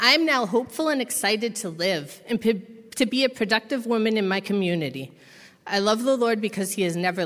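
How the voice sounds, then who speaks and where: A woman with an American accent talks at a fairly quick pace with lively intonation in a normal speaking voice. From Massachusetts. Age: 30s. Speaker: recovery program resident. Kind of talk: testimony.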